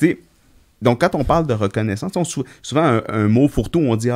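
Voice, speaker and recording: In a dry, close recording with no echo and a silent background, very clean throughout, a man talks at a fairly quick pace and medium pitch with ordinary pitch variation. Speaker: veterinarian podcast co-host. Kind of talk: casual chat.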